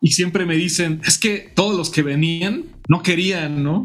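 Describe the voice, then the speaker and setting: Noticeable background noise accompanies a man speaking at a fairly high pitch. His pitch variation is ordinary. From Mexico, Morelia, Michoacán. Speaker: guitarist and music teacher. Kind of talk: interview.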